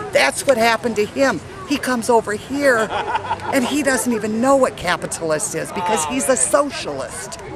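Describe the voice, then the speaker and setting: Over crowd noise in the background, a woman speaks at a moderate pace in a fairly high voice with very wide pitch swings. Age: 60s. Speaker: rally attendee. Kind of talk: street interview. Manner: animated.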